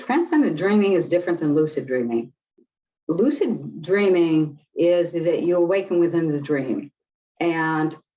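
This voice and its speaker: Here is a woman with an ordinary speaking voice and a fairly low pitch. She talks at a fairly slow pace with lively intonation and very even loudness. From US Midwest, Detroit. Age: 60s. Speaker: clinical psychologist and spiritual teacher. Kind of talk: interview.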